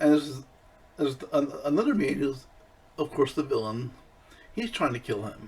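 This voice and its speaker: A man's somewhat breathy, fairly high voice at a moderate pace, broken by long, frequent pauses. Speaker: movie channel host. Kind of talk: casual video review. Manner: halting, many fillers.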